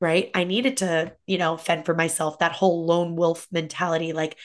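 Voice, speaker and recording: Over a quiet background, a woman with an ordinary speaking voice talks at a moderate pace, with very even loudness and fairly even intonation. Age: 30s. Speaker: fitness coach and entrepreneur. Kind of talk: casual interview chat.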